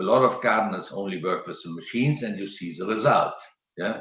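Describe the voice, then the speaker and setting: Man with a German accent, medium pitch and lively intonation. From Germany. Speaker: landscape gardener. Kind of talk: presentation and Q&A answer. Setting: video call. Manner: halting.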